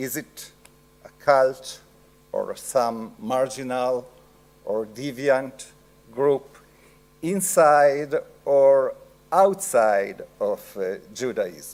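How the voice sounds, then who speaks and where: Very slow speech in an Italian accent, with lively intonation and long, frequent pauses. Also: man, fairly high pitch for a man. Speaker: professor. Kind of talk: lecture. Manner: halting.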